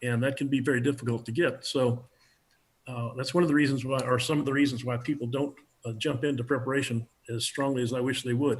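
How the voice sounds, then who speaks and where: Talking at a very fast pace, a man uses monotone, flat intonation. His medium-pitched voice is somewhat breathy. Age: 70s. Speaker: preparedness instructor. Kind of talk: interview.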